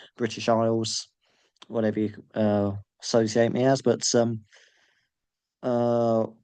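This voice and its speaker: Against a quiet background, a man with an English accent speaks at medium pitch in a dark, mellow tone. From England. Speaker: MMA fan youtuber. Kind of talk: solo video commentary. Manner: halting, many fillers.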